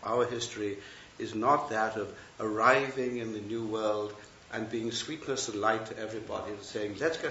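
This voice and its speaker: Speaking with a British accent at a moderate pace and with fairly even intonation, the voice comes through noticeable background noise and audible room echo. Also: man. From England. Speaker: Buddhist teacher and retired professor. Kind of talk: dharma talk. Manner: hesitant, many fillers and restarts.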